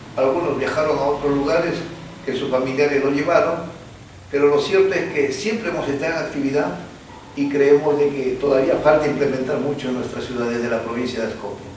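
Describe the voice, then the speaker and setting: Talking at a fairly quick pace, a man uses ordinary pitch variation at a fairly high pitch. Audible room echo and noticeable background noise surround him. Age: 60s. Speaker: social activist and local businessman. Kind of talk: interview conversation.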